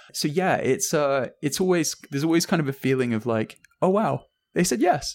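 Speaking at a moderate pace with an English accent, a man uses a fairly high pitch and lively intonation. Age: 30s. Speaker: journalist and podcast host. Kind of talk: casual chat.

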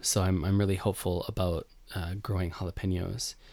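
A man's very deep, low voice with a Western New York accent, monotone, flat intonation and a fairly quick pace, in a very clean recording with a silent background. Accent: Western New York American. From US, Buffalo, New York. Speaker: podcast host, home gardener. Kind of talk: casual solo podcast talk. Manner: conversational, many fillers and restarts.

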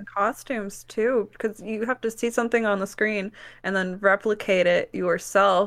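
A woman with an American accent talks at a moderate pace, with medium pitch and fairly even intonation, in an ordinary speaking voice. The recording is very clean, with a silent background. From US Midwest, Wisconsin. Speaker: alternative model. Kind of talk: casual chat.

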